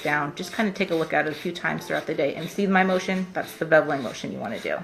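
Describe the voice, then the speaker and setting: A woman talks at a very fast pace with ordinary pitch variation. Noticeable background noise is present. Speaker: nail wrap consultant. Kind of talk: tutorial. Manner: casual.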